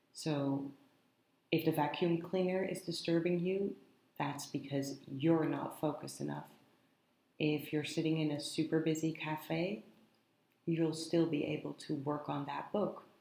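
In a room with audible echo, a woman with a very deep, low pitch and a dark, mellow tone speaks at a fairly slow pace with fairly even intonation and long, frequent pauses. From Netherlands. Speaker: podcast host and writer. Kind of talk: casual monologue. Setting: office in a coworking space.

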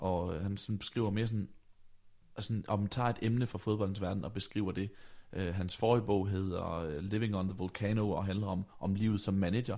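A man speaks at a moderate pace in a dark, mellow tone. His pitch is fairly low, with fairly even intonation. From Denmark, Vejle. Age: 20s. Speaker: podcast host. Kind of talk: casual chat. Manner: halting.

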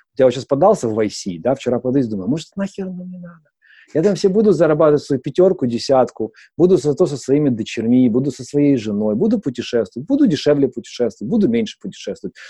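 Very wide pitch swings ride on a dark, mellow tone delivered at a very fast pace. The sound is dry and close with no echo, over a quiet background. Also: man, fairly high pitch for a man. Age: 30s. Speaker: startup founder. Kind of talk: interview. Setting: studio.

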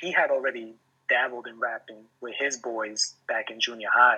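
A man with a New York accent at a moderate pace. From New York City, Washington Heights, Guatemalan family. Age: 30s. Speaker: hip hop artist. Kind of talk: casual interview. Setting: video call.

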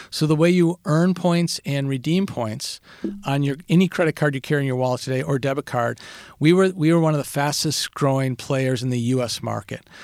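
He has an unremarkable speaking voice and an American accent. The man talks at a fairly quick pace with ordinary pitch variation. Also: fairly high pitch for a man. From Minnesota, Saint Paul. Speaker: business executive. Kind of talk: interview. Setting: studio.

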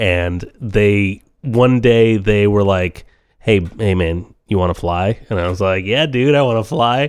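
Speaking at a fairly slow pace, a man with a normal speaking voice uses a fairly low pitch and ordinary pitch variation. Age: 30s. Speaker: podcast co-host. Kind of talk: casual chat. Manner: laughs often.

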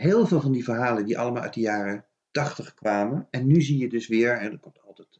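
Speaking in an ordinary speaking voice, a man keeps a fairly quick pace. His pitch is medium, with ordinary variation. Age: 50s. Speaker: children's book author. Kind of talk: casual chat.

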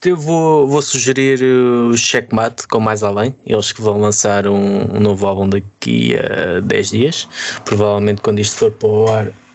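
A man with a European Portuguese accent talks at a fairly slow pace with hardly any pauses, his fairly low voice showing ordinary pitch variation over noticeable background noise. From Ribatejo, Portugal. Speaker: podcast co-host. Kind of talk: casual chat.

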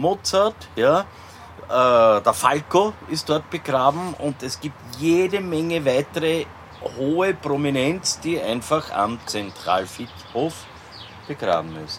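Very wide pitch swings mark a man's fairly high voice as he talks at a very slow pace. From Vienna, Austria. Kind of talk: casual chat.

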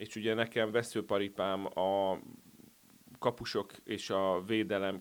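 A man talks in a monotone, with flat intonation. The recording is very clean and the background silent. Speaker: sports journalist. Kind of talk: casual sports discussion.

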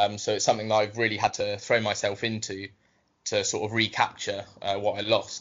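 With a southern English accent, a man talks at a fairly quick pace. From southern England, Southampton. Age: 20s. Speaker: football writer. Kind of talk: interview.

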